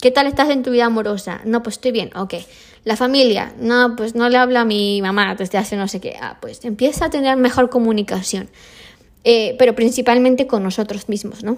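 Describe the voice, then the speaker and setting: A woman with an unremarkable speaking voice talks at a fairly quick pace and fairly high pitch, her intonation fairly even, in a very clean recording with a silent background. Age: 30s. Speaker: podcast host. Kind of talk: solo motivational monologue. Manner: casual, with many fillers.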